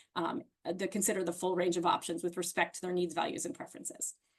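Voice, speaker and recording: With an American accent, this woman talks at a medium pitch. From Virginia, US. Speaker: health educator / trainer. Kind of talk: lecture. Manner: fast; animated.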